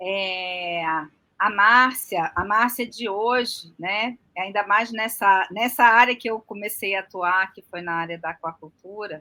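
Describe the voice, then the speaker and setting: Bright and sharp in tone, a woman's voice moves at a fairly slow pace. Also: medium pitch for a woman, ordinary pitch variation, big swings in loudness. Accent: strong Rio de Janeiro. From Rio de Janeiro, Brazil. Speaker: aquaculture farmer and designer. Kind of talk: podcast interview.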